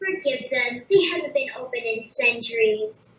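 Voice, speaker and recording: A put-on character voice, female-sounding and high in pitch, moves at a moderate pace. A slight echo is present. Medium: stage play. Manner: dry, measured.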